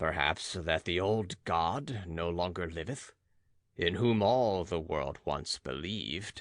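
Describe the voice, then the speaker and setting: A man's put-on character voice, very deep and low in pitch, with lively intonation at a fairly slow pace. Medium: read story. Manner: archaic, declamatory.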